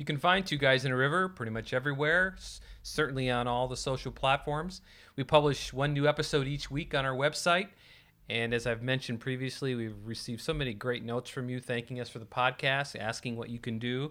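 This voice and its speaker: On a very clean recording with a silent background, a man with an American accent talks at a fairly quick pace, his medium-pitched voice bright and sharp in tone with ordinary pitch variation. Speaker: podcast host. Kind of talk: casual chat.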